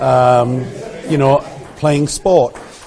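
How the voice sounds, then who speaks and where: A man at a very slow pace with fairly even intonation, over noticeable background noise. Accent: Geordie. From north-east England (Geordie). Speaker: village hall volunteer. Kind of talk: radio interview. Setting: village hall.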